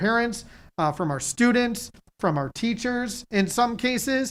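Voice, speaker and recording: An ordinary speaking voice from a woman, fairly high in pitch with lively intonation, comes at a fairly slow pace in a very clean recording with a silent background. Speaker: school administrator presenting reopening plan. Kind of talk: presentation at board meeting. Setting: board meeting room.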